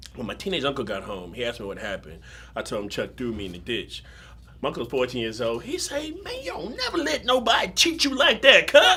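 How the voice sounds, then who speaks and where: Over noticeable background noise, a man talks at a very fast pace with big swings in loudness. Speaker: actor. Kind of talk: dramatic monologue performance. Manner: animated storytelling.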